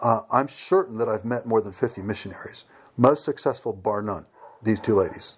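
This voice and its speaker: Speaking with an American accent, a man uses an ordinary speaking voice at medium pitch, with ordinary pitch variation and a moderate pace. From United States. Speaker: missionary. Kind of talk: interview. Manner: repetitive false starts.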